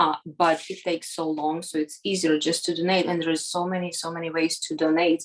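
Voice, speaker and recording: Speaking with a Ukrainian accent, a woman goes at a fairly quick pace with hardly any pauses. Her intonation is monotone and flat, and background noise is noticeable. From Ukraine. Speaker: volunteer for a nonprofit. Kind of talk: interview. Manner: halting, many fillers.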